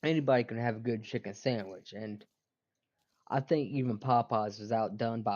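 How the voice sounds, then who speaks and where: The speaker has a Southern US accent and fairly even intonation. The loudness swings widely. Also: man. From US South. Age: 20s. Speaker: gaming streamer. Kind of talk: casual chat while gaming. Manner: halting, many fillers.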